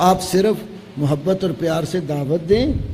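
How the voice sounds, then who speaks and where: A man speaks with ordinary pitch variation, with noticeable background noise and audible room echo in the recording. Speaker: Islamic scholar answering questions. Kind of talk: religious Q&A lecture.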